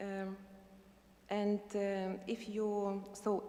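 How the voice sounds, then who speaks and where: A woman speaks with a Lithuanian accent at a medium pitch. Noticeable background noise can be heard. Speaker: university administrator, invited speaker. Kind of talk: prepared speech read aloud. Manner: halting.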